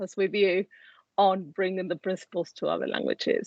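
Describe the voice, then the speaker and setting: A woman with an Argentine accent speaks at a medium pitch. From Argentina. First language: Spanish. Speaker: life coach. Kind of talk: interview. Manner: hesitant, many fillers.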